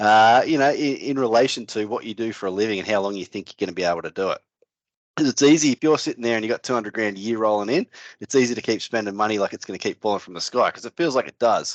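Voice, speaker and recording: Speaking at a very fast pace with an Australian accent, a man is heard over a quiet background in a dry, close sound with no echo. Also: medium pitch for a man, ordinary pitch variation. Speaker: financial adviser, podcast co-host. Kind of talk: casual podcast chat.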